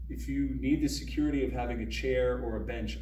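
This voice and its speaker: Over light background noise and audible room echo, a man talks at a moderate pace with monotone, flat intonation. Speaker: fitness coach. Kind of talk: tutorial. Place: gym. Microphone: camera far.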